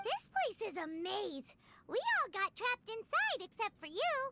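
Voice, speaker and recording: The pitch sits extremely high in a put-on character voice. The sound is squeaky. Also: moderate pace. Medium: video game. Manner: polite, formal.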